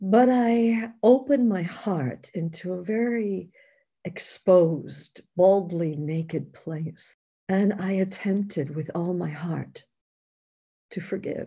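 A woman's somewhat breathy, dark and mellow voice with an American accent, medium in pitch, with ordinary pitch variation, at a very slow pace, on a very clean recording with a silent background. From New York. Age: 60s. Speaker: author and spiritual teacher. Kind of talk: interview.

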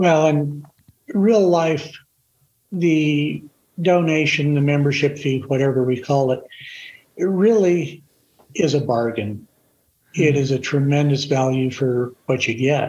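At a fairly slow pace with long, frequent pauses, a man speaks in a somewhat breathy, fairly high-pitched voice with very even loudness and ordinary pitch variation. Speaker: retired firefighter. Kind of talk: casual chat.

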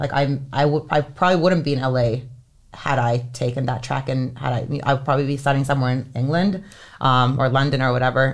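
The woman's voice is very deep and low in pitch. She talks at a fairly quick pace. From Finland (Helsinki). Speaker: entertainment lawyer. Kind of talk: casual interview.

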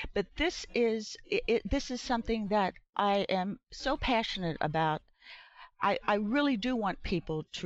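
A woman speaks in an unremarkable speaking voice with lively intonation. The background is quiet. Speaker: graphic novelist. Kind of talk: interview.

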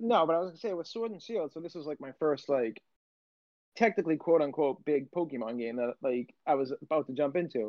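In a plain, everyday voice, a man speaks at a fairly quick pace with fairly high pitch, lively intonation and big swings in loudness. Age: 30s. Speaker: podcast co-host. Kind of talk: casual chat.

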